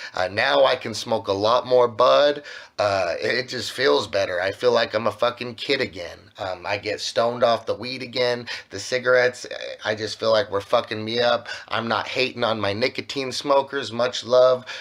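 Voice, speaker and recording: There is noticeable background noise as a man of medium pitch speaks at a moderate pace with ordinary pitch variation. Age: 30s. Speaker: musician. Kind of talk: casual chat. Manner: casual, filler-heavy.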